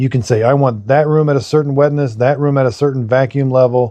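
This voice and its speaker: The man's voice has a dark, mellow tone at a medium pitch. He talks at a very fast pace. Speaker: product reviewer. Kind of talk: tutorial. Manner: casual.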